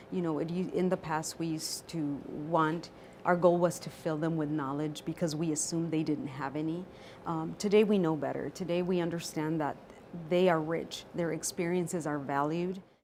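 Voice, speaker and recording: With fairly even intonation, a woman speaks at a moderate pace in a fairly low pitch. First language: not English. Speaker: educator. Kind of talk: interview testimony.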